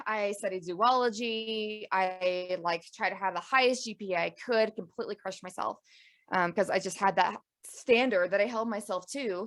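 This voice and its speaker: A woman with an American accent speaks at a moderate pace and medium pitch, with ordinary pitch variation. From US Appalachia (West Virginia / Eastern Kentucky area). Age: 30s. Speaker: podcast host, conservation biologist. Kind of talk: interview. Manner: animated.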